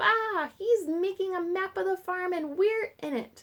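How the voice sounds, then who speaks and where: A woman puts on a squeaky character voice at an extremely high pitch, speaking at a moderate pace on a very clean recording with a silent background. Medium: read story. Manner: excited, chorusing.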